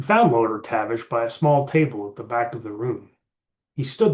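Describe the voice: The clip is plain reading aloud. Its background is quiet.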